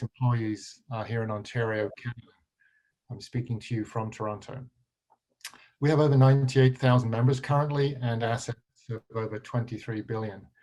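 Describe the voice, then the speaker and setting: This man speaks at a fairly quick pace in a medium pitch, somewhat breathy, with a monotone, flat intonation. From England. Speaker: pension fund executive. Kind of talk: panel talk. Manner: halting, many fillers.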